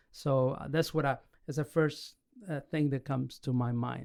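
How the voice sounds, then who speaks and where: Fairly even intonation marks a man's fairly high voice. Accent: Argentine. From Argentina. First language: Spanish. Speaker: pastor and church planter. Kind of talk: podcast interview. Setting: recorded live in Orlando.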